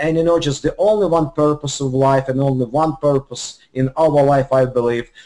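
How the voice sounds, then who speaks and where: In a dark, mellow tone, a fairly high-pitched man speaks at a moderate pace with very even loudness, fairly even intonation, and hardly any pauses. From Lithuania and Ukraine. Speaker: business executive. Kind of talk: testimony. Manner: halting, many fillers.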